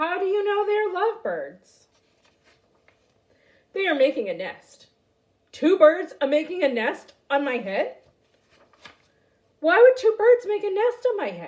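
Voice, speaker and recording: A woman's put-on character voice, extremely high-pitched and projected, at a fairly slow pace. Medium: read story. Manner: nervous, fretful.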